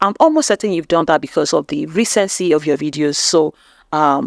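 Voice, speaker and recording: A woman with a Nigerian accent speaks at a fairly low pitch. The sound is dry and close with no echo, on a very clean recording with a silent background. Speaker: YouTube growth coach. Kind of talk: channel review tutorial.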